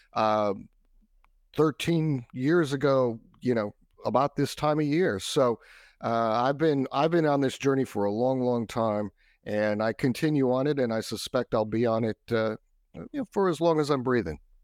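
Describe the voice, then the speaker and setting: A man with an unremarkable speaking voice and an American accent talks at a medium pitch and moderate pace, with ordinary pitch variation. The sound is dry and close with no echo, and the background is quiet. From Texas. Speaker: cybersecurity expert. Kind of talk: interview.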